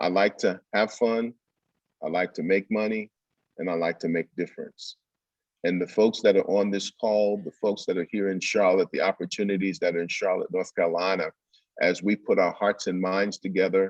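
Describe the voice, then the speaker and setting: Moderate-paced speech from a man, dry and close with no echo. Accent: New York. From Brooklyn, New York. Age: 60s. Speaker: business development speaker. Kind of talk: virtual summit presentation.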